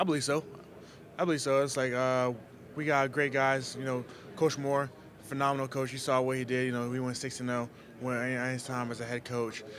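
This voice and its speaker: Delivered in an American accent, the speech moves at a fairly quick pace in a monotone, flat intonation, broken by long, frequent pauses. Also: man, medium pitch for a man. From Haiti, then US from age nine. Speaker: football player. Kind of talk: press interview.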